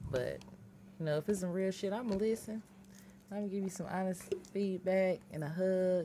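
Using a medium pitch and fairly even intonation, a woman talks at a moderate pace broken by long, frequent pauses. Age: 30s. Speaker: podcast co-host. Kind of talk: casual chat.

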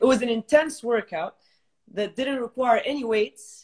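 A woman with an unremarkable speaking voice talks at a fairly high pitch with ordinary pitch variation against a quiet background. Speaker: fitness trainer. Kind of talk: interview. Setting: video call. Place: home room. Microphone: video call.

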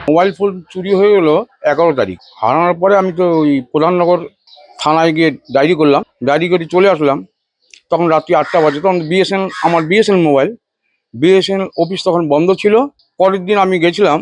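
A man's high-pitched voice, fairly even intonation and very even loudness. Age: 60s. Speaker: priest, fraud victim. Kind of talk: interview testimony. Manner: halting.

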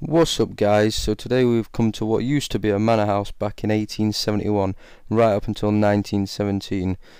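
A man in a plain, everyday voice, fairly low in pitch, at a fairly quick pace with fairly even intonation, dry sound with no echo and a quiet background. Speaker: urban explorer vlogger. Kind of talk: casual vlog chat. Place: empty room. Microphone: phone near.

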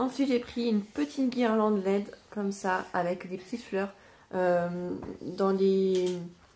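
Very slow in pace, this voice carries a dark, mellow tone. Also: woman, medium pitch for a woman, ordinary pitch variation. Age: 30s. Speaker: vlogger and mother. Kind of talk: casual vlog monologue. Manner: hesitant, many fillers.

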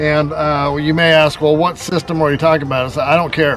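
A man talks over clear background music. The sound is dry, with no echo. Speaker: homesteading vlogger. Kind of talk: casual vlog chat. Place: garden. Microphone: phone near.

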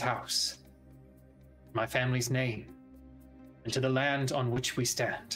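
Over clear background music, a man puts on a character voice at a medium pitch and speaks at a fairly slow pace. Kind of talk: formal Shakespearean address. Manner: regal, measured, a little tense.

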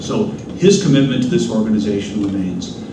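A man at a moderate pace with lively intonation, amid noticeable background noise and audible room echo. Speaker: panel moderator, think tank president. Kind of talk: moderated panel discussion. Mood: warm, appreciative. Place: hall. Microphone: podium.

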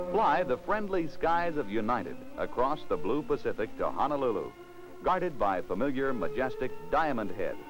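Music plays in the background as a man speaks. His loudness stays very even at a moderate pace. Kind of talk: vintage TV commercial narration. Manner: polished, promotional announcer delivery.

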